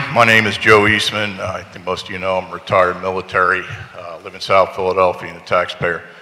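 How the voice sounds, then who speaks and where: A man talks at a very fast pace while noticeable background noise plays behind him. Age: 60s. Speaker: retired military veteran. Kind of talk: public comment testimony.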